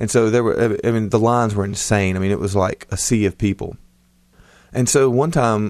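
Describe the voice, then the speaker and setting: A man talks at medium pitch and a fairly quick pace. He has a plain, everyday voice, with a quiet background. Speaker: podcast co-host, father. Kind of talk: casual chat.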